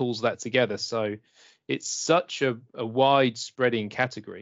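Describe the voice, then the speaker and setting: A man talks with an English accent at a moderate pace. His pitch sits in the medium range. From England. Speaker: IT consultant. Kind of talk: casual interview chat. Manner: friendly, upbeat.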